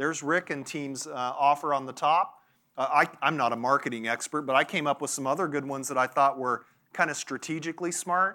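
In a very clean recording with a silent background, a man with a fairly high pitch talks at a fairly quick pace in a bright, sharp, animated tone. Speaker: banking industry speaker. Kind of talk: conference presentation. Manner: animated, talks with his hands.

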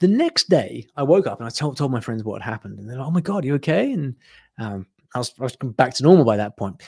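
Somewhat breathy and at a medium pitch, a man rushes along at a very fast pace with big swings in loudness. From UK. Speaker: online business founder, language teaching. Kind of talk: interview, casual conversation. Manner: hesitant, repeats words.

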